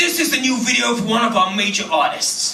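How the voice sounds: In a put-on character voice, a man sounds gruff with an extremely high pitch. He goes at a fairly quick pace, with slight echo.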